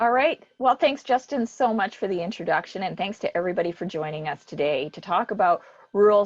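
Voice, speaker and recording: An ordinary speaking voice moves at a fairly quick pace with lively intonation and a dry, close sound with no echo. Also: woman. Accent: Canadian. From Canada, Alberta (Spruce Grove). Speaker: business support organization executive. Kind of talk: panel discussion moderation.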